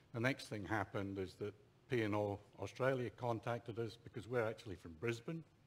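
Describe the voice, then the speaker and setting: A man talks at a fairly quick pace with fairly low pitch and ordinary pitch variation. His voice is somewhat breathy. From Scotland. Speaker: guest speaker, traveller. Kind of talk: travel presentation to audience. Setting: ship theatre stage with audience.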